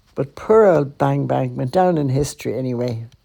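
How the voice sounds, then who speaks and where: A woman speaking with a Dublin accent. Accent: Dublin Irish. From Ireland, Dublin. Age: 80s+. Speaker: podcaster and storyteller. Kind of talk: personal storytelling. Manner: conversational.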